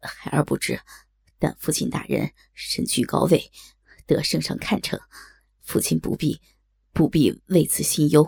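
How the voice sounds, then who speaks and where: A shaky, put-on character voice moves at a fairly slow pace. Long, frequent pauses break up the speech. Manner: trembling, fearful.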